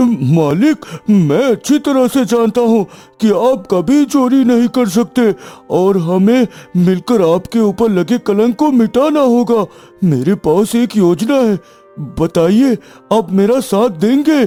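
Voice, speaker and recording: A man uses a cartoonish character voice pitched high. He talks at a fairly slow pace. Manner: emotional, insistent.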